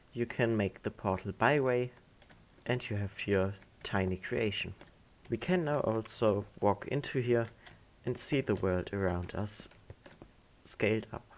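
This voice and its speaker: With a non-native accent, a man speaks at medium pitch and a fairly slow pace, leaving long, frequent pauses. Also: ordinary pitch variation. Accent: non-native English, self-described. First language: not English. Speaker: gaming tutorial creator. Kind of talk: tutorial.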